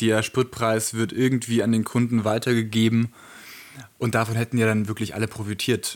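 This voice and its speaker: Medium in pitch, a man talks at a moderate pace. His intonation is monotone and flat, and his loudness stays very even. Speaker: podcast co-host. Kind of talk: casual chat. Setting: sitting very close to co-host on one mic.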